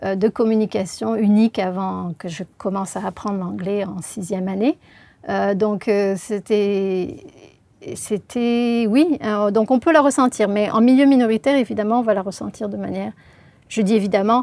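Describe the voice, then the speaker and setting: Her dark, mellow tone sits at a medium pitch as this woman speaks at a moderate pace. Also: ordinary pitch variation. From southern France, Marseille region. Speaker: linguist. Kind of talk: interview. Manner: hesitant, many filler sounds.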